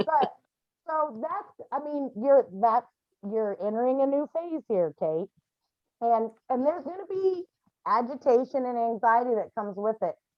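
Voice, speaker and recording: A loud, high-pitched woman at a fairly slow pace, with very wide pitch swings. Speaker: grief support group facilitator. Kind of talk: support group session.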